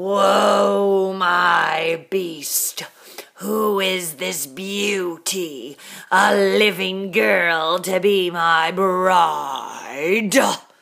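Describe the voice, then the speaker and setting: A woman growls through a put-on character voice at a fairly low pitch. Her pace is very slow, and her pitch varies in an ordinary way. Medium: read story.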